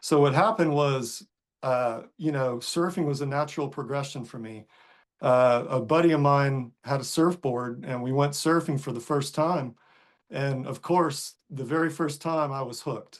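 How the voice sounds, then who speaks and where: A man with an American accent and a normal speaking voice talks at a moderate pace, fairly high in pitch with ordinary pitch variation, against a quiet background. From US South, North Carolina coast. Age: 60s. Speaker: surfer and author. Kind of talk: podcast interview. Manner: casual, with many fillers.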